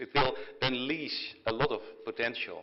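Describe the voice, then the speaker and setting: At a moderate pace, a man speaks with a Dutch accent. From Netherlands. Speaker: technology company executive. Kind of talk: keynote speech at signing ceremony. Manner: halting, many fillers and repetitions.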